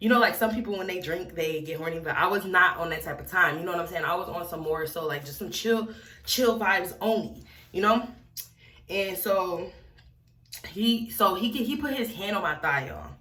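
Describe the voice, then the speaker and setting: In a room with audible echo, a woman speaks at a medium pitch in an animated tone. Her intonation is lively, and her loudness swings widely. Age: young. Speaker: wig review vlogger. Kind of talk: storytime vlog. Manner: fast.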